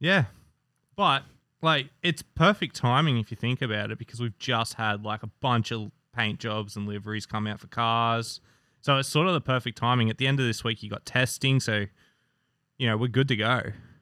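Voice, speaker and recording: Bright and sharp in tone, a man speaks at a medium pitch with an Australian accent. The sound is dry and close, without echo. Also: ordinary pitch variation, moderate pace, very clean recording, silent background. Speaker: motorsport fan. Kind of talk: casual chat.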